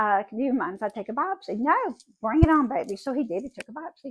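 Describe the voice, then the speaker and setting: In a Southern US accent, a woman speaks at a high pitch and a fairly quick pace, her tone animated. Her pitch swings very widely, and the sound is dry and close with no echo. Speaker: vlogger. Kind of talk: casual monologue.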